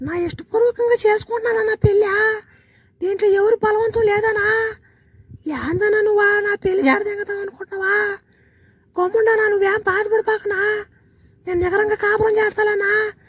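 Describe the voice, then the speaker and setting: Putting on a cartoonish character voice, a woman speaks at an extremely high pitch with monotone, flat intonation at a moderate pace, in a dry, close sound with no echo. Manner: soft, earnest.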